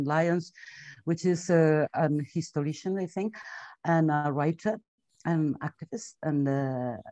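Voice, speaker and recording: A woman with a Spanish accent and fairly low pitch speaks with ordinary pitch variation against a quiet background. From Spain. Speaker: webinar moderator. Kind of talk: webinar introduction. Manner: halting.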